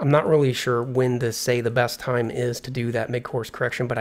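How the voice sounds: A man at a moderate pace, with little pitch movement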